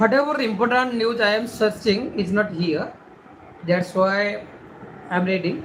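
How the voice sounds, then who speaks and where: A woman's lively, up-and-down delivery with long, frequent pauses and audible room echo. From India. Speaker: livestreamer. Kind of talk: casual live stream, reading newspaper headlines. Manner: halting.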